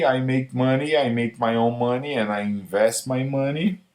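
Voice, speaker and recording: A man's normal speaking voice, medium-pitched, at a moderate pace. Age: 40s. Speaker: vlogger. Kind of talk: casual vlog monologue. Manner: informal, rambling.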